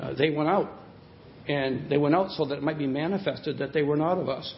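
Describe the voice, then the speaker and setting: Fairly quick, fairly high-pitched speech from a man, with noticeable background noise. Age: 60s. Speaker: preacher. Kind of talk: sermon. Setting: church.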